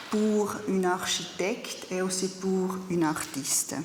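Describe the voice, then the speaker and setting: A very slow, fairly even delivery in a German accent, with noticeable background noise and audible room echo. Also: woman. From Zurich, Switzerland. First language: German (speaking French). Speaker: artist and architecture teacher. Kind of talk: conference talk. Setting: study day lecture with audience. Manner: halting, with hesitations.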